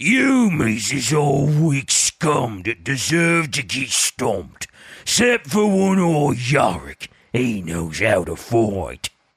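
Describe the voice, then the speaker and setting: A put-on, raspy character voice from a man, medium in pitch, menacing in tone, at a very slow pace. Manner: gruff, menacing, contemptuous.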